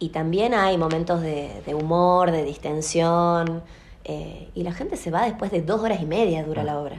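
In a room with audible echo, a woman talks at a fairly slow pace, her fairly low pitch showing ordinary variation. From Salta, Argentina. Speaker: theatre actress and director, drama school owner. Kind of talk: interview.

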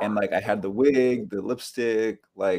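With an American accent, a man speaks at a moderate pace in a medium pitch, his tone dark and mellow and his pitch variation ordinary, on a very clean recording with a silent background. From US, northern California (Bay Area). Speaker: musician. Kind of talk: casual chat.

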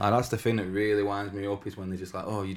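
A man with a Manchester accent speaks at a fairly low pitch. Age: 30s. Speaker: podcast co-host. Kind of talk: casual chat.

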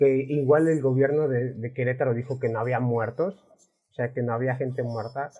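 The speaker keeps a fairly even intonation at a moderate pace. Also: man, medium pitch for a man. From Mexico. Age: 20s. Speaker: podcast host. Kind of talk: casual chat. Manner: halting.

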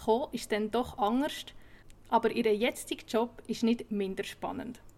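Speaking with a Swiss accent, a woman uses a fairly high pitch and fairly even intonation. Her pace is moderate. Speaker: podcast host. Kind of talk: scripted intro; interview.

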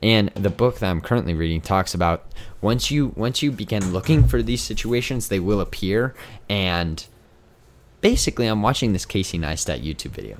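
A man with a fairly low voice and vocal fry speaks at a fairly quick pace with lively intonation. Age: 20s. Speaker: podcast host. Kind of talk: casual chat. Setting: home room, video recording. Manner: animated.

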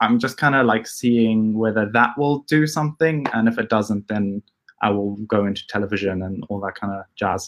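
Recorded with a dry, close sound and no echo, a man talks in an ordinary speaking voice, fairly low in pitch with ordinary pitch variation. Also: moderate pace. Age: 20s. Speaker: YouTuber. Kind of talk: interview.

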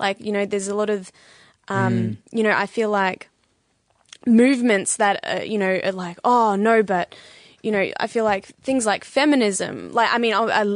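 At a moderate pace, a woman with an Australian accent speaks at medium pitch with fairly even intonation. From Australia, Bendigo (Victoria). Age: 20s. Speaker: podcast guest. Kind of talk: casual chat.

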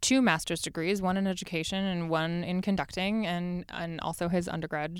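A woman with a Californian accent speaks at medium pitch and a moderate pace on a very clean recording with a silent background. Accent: General American, Californian. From US West Coast, Los Angeles. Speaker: Broadway actress and podcaster. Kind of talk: casual chat.

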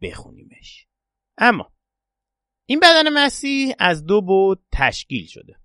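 A man speaks at a fairly slow pace in a bright, sharp tone, with dry, close sound, no echo and a quiet background. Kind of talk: religious podcast talk with prayers.

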